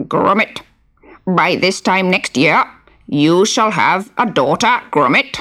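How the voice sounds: In a put-on character voice, a female-sounding speaker talks croakily at a fairly slow pace and medium pitch.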